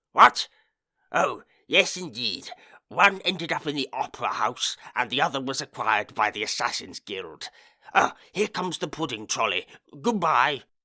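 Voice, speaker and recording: On a very clean recording with a silent background, a man uses a put-on character voice at a fairly high pitch and moderate pace, with long, frequent pauses. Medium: read story.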